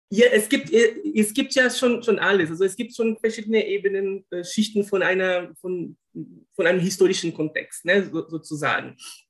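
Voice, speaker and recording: With a Brazilian accent, a high-pitched man speaks at a moderate pace with ordinary pitch variation. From Brazil, Rio de Janeiro. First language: Portuguese (speaking German). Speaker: linguist and former German teacher. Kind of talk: interview. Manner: halting, many repetitions and fillers.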